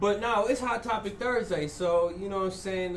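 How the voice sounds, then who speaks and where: Over noticeable background noise and with audible room echo, a man talks with fairly even intonation. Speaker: podcast host. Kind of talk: casual chat.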